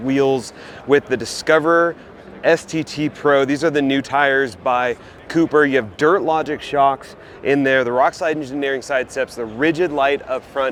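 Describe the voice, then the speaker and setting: An enthusiastic man's fairly high voice at a moderate pace, with ordinary pitch variation and noticeable background noise. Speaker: automotive video host. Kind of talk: walkaround vehicle showcase. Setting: trade show floor. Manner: casual, enthusiastic.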